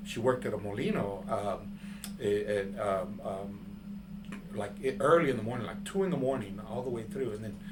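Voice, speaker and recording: Noticeable background noise and audible room echo around a man's moderate-paced voice. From San Antonio, Texas (west side). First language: Spanish. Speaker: artist. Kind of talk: interview. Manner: halting, many fillers.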